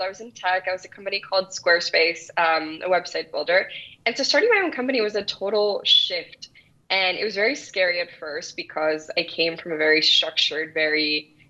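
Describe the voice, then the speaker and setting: A woman speaks at a medium pitch with lively intonation. Noticeable background noise is present. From El Salvador. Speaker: entrepreneur, children's book company founder. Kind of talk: interview.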